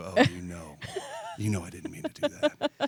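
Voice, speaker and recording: A man's put-on character voice, very deep and low and raspy, at a moderate pace with big swings in loudness. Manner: apologetic, pleading.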